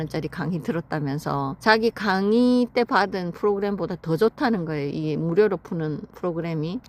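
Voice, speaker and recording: Woman with a normal speaking voice at a moderate pace. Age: 50s. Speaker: vlogger. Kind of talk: casual personal story told to camera.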